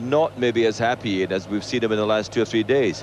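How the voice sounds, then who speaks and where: A moderate pace in a Scottish accent. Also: man. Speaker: athletics commentator. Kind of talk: live commentary.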